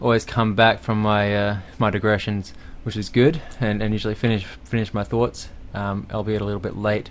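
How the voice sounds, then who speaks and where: A fairly low-pitched man with an Australian accent and flat, monotone intonation. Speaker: game developer. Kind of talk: tutorial. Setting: home recording at night. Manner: fast; hesitant, many fillers.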